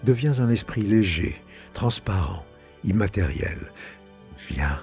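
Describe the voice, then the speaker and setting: Speech unfolds very slowly while music plays behind it. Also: man. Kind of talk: guided meditation. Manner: slow, soothing.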